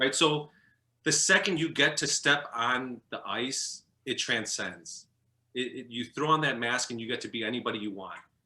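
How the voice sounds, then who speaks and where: This man has a bright, sharp tone at medium pitch. He moves at a moderate pace with ordinary pitch variation. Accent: Chicago. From US Midwest, Chicago. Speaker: former professional hockey goalie. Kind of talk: interview. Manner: halting.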